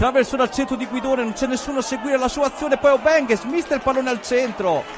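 A man speaks at an extremely high pitch and a fairly quick pace. Noticeable background noise can be heard. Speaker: football commentator. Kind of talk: live sports commentary. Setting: stadium commentary for web broadcast. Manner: brisk, play-by-play delivery.

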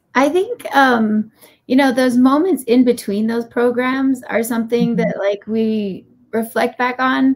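A woman speaks with a Hawaiian accent at a high pitch. Her intonation stays fairly even. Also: moderate pace. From Hawaii, Laie (Oahu). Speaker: podcast guest. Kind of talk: podcast interview. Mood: warm, reflective. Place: home room.

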